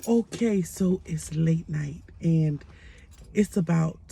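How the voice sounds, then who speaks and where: A woman speaks quietly at a fairly low pitch. Her tone is dark and mellow and somewhat breathy. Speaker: life coach. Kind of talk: motivational talk. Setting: at home late at night.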